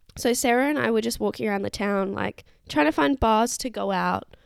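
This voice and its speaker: Speaking fairly quickly with an Australian accent, a woman holds a medium pitch. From Perth, Western Australia. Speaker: travel podcaster. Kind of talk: casual solo monologue. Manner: rambling, casual.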